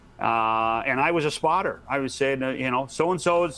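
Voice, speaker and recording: A man with an unremarkable speaking voice talks fairly quickly at a medium pitch with ordinary pitch variation. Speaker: author and former hockey broadcast producer.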